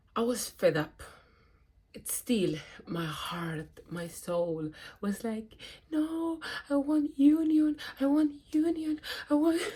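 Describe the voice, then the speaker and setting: A dark, mellow tone comes at a very slow pace, with long, frequent pauses. Pitch swings very widely and loudness rises and falls sharply. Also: woman, high pitch for a woman. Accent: non-native. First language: not English. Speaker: spiritual vlogger. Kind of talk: personal testimony. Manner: hesitant, with fillers and restarts.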